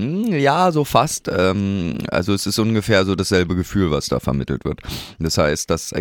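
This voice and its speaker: A fairly low male voice with very wide pitch swings. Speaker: podcast co-host and musician. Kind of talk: casual chat.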